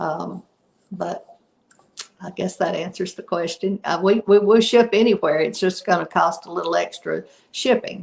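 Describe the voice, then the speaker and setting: A woman with a Southern US accent speaks at a medium pitch and a moderate pace, with ordinary pitch variation. Her voice has vocal fry and big swings in loudness. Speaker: product inventor and company CEO. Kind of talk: interview.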